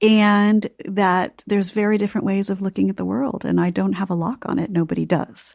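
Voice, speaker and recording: A woman with an American accent speaks at a fairly quick pace with hardly any pauses. She has a plain, everyday voice at medium pitch with ordinary pitch variation. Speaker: novelist and former journalist. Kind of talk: interview.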